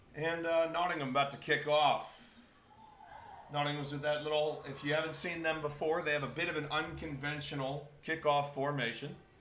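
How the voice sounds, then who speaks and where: With an American accent, a man talks quickly at a fairly high pitch in a monotone, flat way. Noticeable background noise and audible room echo fill the recording. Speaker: camera operator filling in on commentary. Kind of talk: live sports commentary.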